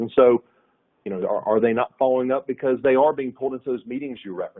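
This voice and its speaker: In a Southern US accent, a man speaks at a medium pitch. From US South, north Florida. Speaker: sales executive. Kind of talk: webinar panel discussion. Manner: halting, many repetitions.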